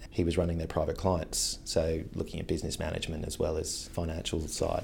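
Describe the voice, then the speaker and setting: Fairly quick speech from a man in a room with audible echo. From England, Devon. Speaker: creative agency director. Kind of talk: interview. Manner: casual, with some repetitions.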